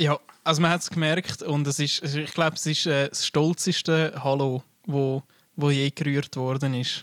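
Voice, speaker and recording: In a Swiss accent, the speaker delivers flat, monotone intonation at a moderate pace, with a dry, close sound and no echo. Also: man, fairly high pitch for a man. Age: 20s. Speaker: podcast co-host. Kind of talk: casual chat.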